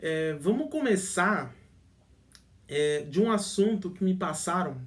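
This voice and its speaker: The intonation is lively. The pace is fairly slow. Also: man. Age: 20s. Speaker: relationship advice youtuber. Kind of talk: casual vlog talk. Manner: halting, many fillers and restarts.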